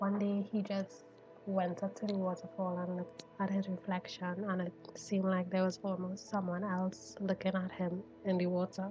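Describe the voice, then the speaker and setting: Over music in the background, the speech moves at a moderate pace. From Trinidad. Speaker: vtuber. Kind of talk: improvised storytelling.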